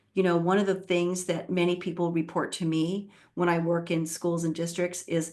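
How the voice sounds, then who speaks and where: A woman speaks at a fairly low pitch with a plain, everyday voice. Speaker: literacy education leader and author. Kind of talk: webinar presentation.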